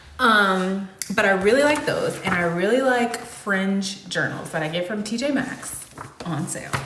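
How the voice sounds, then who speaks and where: A woman's medium-pitched voice, lively in intonation and fairly slow in pace, with audible room echo and noticeable background noise. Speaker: singer-songwriter vlogger. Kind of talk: casual chat to camera between songs. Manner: casual, filler-heavy.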